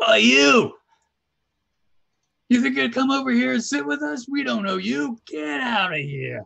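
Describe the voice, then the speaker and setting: Putting on a character voice, a man speaks in a raised, projected, high-pitched voice with very wide pitch swings, a moderate pace and long, frequent pauses. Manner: hostile, dismissive.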